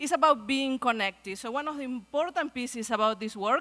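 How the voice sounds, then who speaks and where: A woman with a Spanish accent speaks at a fairly quick pace in a high pitch with a bright, sharp tone and ordinary pitch variation. The sound is dry and close, with no echo. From Argentina. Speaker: pediatrics researcher, guest speaker. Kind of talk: speech at a luncheon. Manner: fast.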